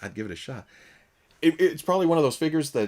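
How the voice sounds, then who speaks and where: Lively intonation marks a man's speech, which carries a slight Southern US accent. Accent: light Southern US. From Southern United States.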